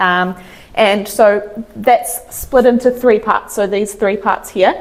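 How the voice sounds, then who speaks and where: A woman with a New Zealand accent, a fairly high pitch, lively intonation and a fairly slow pace. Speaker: chiropractor. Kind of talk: health talk. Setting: stage with audience.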